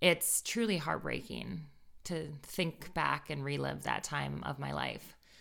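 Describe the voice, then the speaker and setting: A very slow woman's voice with a General American accent. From US, Northern Virginia. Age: 30s. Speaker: life coach. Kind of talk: personal testimony / audio course narration. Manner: warm, enthusiastic.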